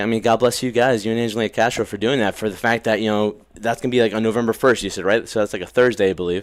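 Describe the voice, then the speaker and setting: With an American accent, a man speaks at medium pitch in a monotone, flat intonation, very fast and with hardly any pauses, on a very clean recording with a silent background. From New Jersey. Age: 30s. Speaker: podcast host. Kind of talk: casual interview.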